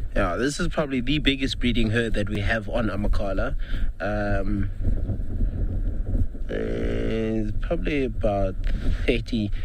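Over noticeable background noise, a man talks at a very slow pace in a dry sound with no echo. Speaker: safari guide naturalist. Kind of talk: live safari commentary. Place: open country.

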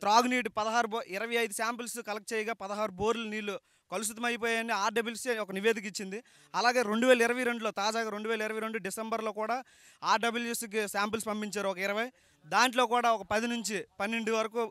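In a raised, projected voice, a man with a high pitch, bright, sharp tone and monotone, flat intonation speaks in a dry sound with no echo against a quiet background. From Srikakulam district, Andhra Pradesh; Andhra Pradesh, India. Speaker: villager in fishing community; interviewee. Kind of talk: street interview. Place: open country. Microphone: handheld.

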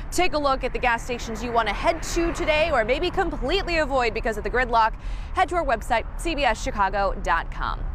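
A woman talks at a fairly quick pace in a high pitch with very wide pitch swings, in a dry sound with no echo and light background noise. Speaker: TV news reporter. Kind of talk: news stand-up report. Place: street.

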